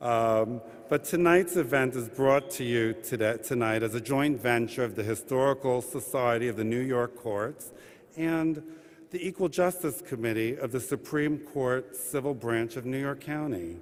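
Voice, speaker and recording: With an unremarkable speaking voice, a man talks at medium pitch and a moderate pace, with ordinary pitch variation. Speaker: administrative judge welcoming an audience at a courthouse event. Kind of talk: formal event welcome and opening remarks. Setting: live event in a courthouse rotunda addressing an audience.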